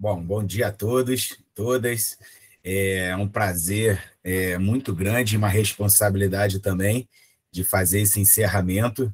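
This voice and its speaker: A man's fairly low, somewhat breathy voice with a Rio de Janeiro accent, fairly even intonation and a fairly slow pace. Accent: Rio de Janeiro (carioca). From Rio de Janeiro, Brazil. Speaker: professor, physical education lecturer. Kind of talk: conference lecture. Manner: hesitant, many fillers and repetitions.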